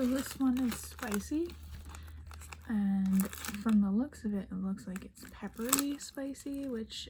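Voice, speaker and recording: There is noticeable background noise as a woman talks at a very slow pace, her fairly high pitch showing ordinary variation. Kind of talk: ASMR unboxing, soft-spoken talk to camera. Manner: soft-spoken, whispery.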